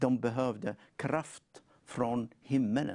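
The man speaks at a medium pitch with a dark, mellow tone. The background is quiet. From North Africa. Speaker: preacher. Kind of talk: testimony; sermon.

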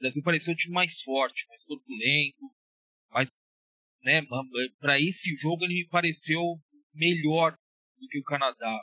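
With long, frequent pauses, a man speaks at a moderate pace and a fairly high pitch, using ordinary pitch variation. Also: big swings in loudness. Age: 30s. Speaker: basketball analyst. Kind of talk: casual chat.

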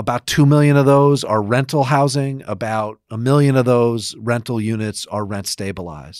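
Speaking with an American accent in an ordinary speaking voice, a man talks at a moderate pace with ordinary pitch variation and hardly any pauses, on a very clean recording with a silent background. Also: medium pitch for a man. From Rochester, New York. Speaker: podcast co-host, housing finance executive. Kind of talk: casual chat.

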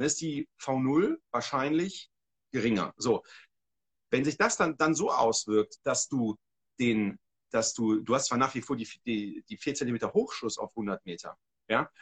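A man's medium-pitched voice with lively intonation, a fairly slow pace and long, frequent pauses, in a dry, close sound with no echo. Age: 40s. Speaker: hunting and shooting instructor. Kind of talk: casual livestream conversation. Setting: livestream.

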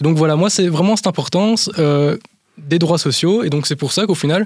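Very fast speech from a man carries ordinary pitch variation. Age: 20s. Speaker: business advisor. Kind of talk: interview answers. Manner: halting.

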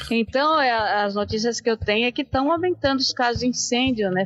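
Dry and close with no echo, a woman talks at a moderate pace in an ordinary speaking voice. Her pitch is fairly high, with ordinary pitch variation. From São Paulo city, Brazil. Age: 50s. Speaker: podcast co-host. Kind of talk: casual chat.

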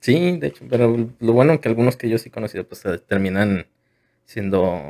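A man's medium-pitched voice with a dark, mellow tone comes through with a dry, close sound with no echo. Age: 20s. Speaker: podcast host. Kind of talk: casual chat.

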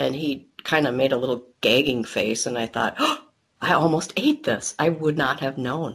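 The speaker has an American accent and a moderate pace. The intonation stays fairly even. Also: woman. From Wisconsin, US Midwest. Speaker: person with acquired anosmia. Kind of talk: interview.

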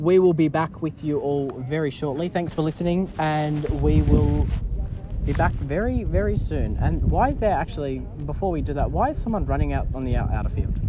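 The tone is playful, with an Australian accent. There is noticeable background noise. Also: moderate pace. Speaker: cricket commentator podcast host. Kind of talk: sports commentary, casual and chatty. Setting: outdoors at a cricket ground. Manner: playful, bantering, filler-heavy, halting with ums.

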